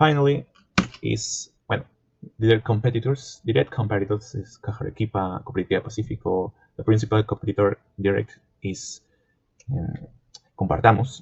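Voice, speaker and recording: A man with a non-native accent talks fairly quickly in a somewhat breathy voice, with ordinary pitch variation and long, frequent pauses. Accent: non-native, self-described poor pronunciation. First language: Spanish. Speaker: student. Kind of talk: class presentation. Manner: halting, self-correcting.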